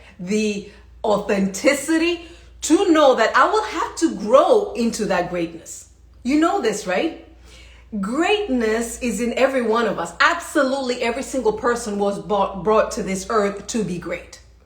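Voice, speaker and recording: Over noticeable background noise and audible room echo, a woman speaks at a moderate pace in a fairly high voice with very wide pitch swings. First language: not English. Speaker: leadership coach. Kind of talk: motivational livestream talk. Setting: live stream. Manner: animated.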